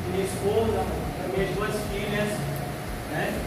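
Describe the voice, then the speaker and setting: A man speaks with audible echo from the room and loud noise in the background. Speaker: presenter. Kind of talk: personal testimony talk to audience. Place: hall. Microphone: camera far.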